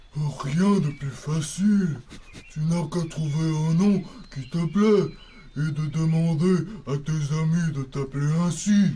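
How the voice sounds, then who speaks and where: A man's put-on character voice, fairly high in pitch, at a fairly slow pace, with clear background noise. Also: fairly even intonation. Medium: audio drama.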